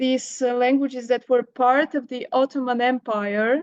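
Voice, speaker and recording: A woman speaks with a Bulgarian accent at a high pitch. Her intonation is monotone and flat. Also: dry, close sound with no echo. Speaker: professor. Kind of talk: academic Q&A. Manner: halting, many fillers.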